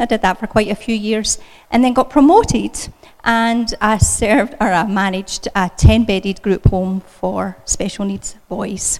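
A woman speaks with a Scottish accent at a fairly slow pace. Her pitch sits fairly high and rises and falls in an ordinary way. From Scotland. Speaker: children's ministry speaker. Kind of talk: church talk. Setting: church.

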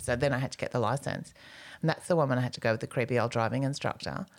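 With an Australian accent, a woman talks at a very fast pace in a very deep, low pitch with lively intonation, on a very clean recording with a silent background. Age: 50s. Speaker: comedian. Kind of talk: casual chat.

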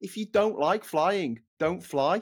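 A man with a Scouse accent talks at a fairly slow pace with ordinary pitch variation, on a very clean recording with a silent background. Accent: Scouse, Liverpool. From Liverpool, England. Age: 40s. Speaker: travel record holder, author. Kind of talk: casual interview.

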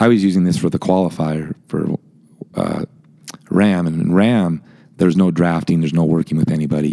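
Noticeable background noise sits behind a man's voice. He speaks at a fairly quick pace with fairly even intonation. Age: 50s. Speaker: amateur endurance cyclist. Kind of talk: casual chat.

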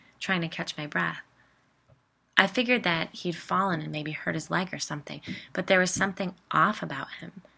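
A woman with a fairly low pitch and a bright, sharp tone talks at a fairly quick pace with vocal fry, in a very clean recording with a silent background. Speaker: podcast host and storyteller. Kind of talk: scripted narration of ghost stories.

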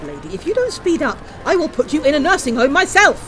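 Faint music plays behind a woman doing a put-on character voice. Her pitch is high with very wide swings, her tone fairly bright and her pace fairly quick.

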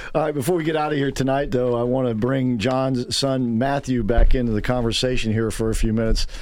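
Against noticeable background noise, a man talks at a very fast pace with hardly any pauses and fairly even intonation. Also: medium pitch for a man. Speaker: radio talk show host. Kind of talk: talk radio show. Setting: studio.

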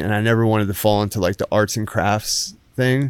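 A man with a New Jersey accent speaks at a moderate pace and medium pitch. The recording is very clean, with a silent background. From Jersey Shore, New Jersey. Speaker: artist and woodworker. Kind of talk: casual interview. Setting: studio, lying down.

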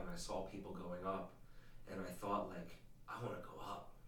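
A man's voice with audible room echo. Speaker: podcast host's husband, former non-believer. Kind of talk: casual faith conversation and testimony. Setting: home studio, behind the camera.

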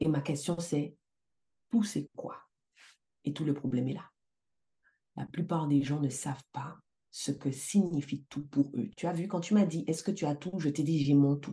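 Her very deep, low pitch and dark, mellow tone come out somewhat breathy as the woman talks at a fairly slow pace with ordinary pitch variation and long, frequent pauses. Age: 40s. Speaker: life coach and entrepreneur. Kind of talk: casual interview.

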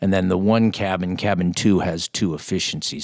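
A man speaks at a moderate pace with an ordinary speaking voice and fairly even intonation. The recording is very clean, with a silent background. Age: 50s. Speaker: bush pilot and hunting guide. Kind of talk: casual chat. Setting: in person.

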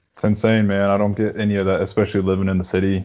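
A man is speaking. He has a Texan accent. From Texas. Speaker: podcast guest. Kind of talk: casual chat. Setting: video call.

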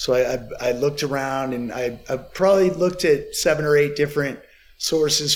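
With a normal speaking voice, a man talks at a moderate pace in a fairly high pitch, using ordinary pitch variation. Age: 40s. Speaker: skincare company founder. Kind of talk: casual chat.

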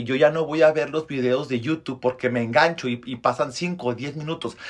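This voice belongs to a man. It sits fairly high. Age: 30s. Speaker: podcast host, motivational speaker. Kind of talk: motivational monologue. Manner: animated.

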